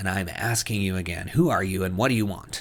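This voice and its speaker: A man growls in a put-on character voice with fairly low pitch. He talks at a fairly quick pace with ordinary pitch variation. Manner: raised, demanding.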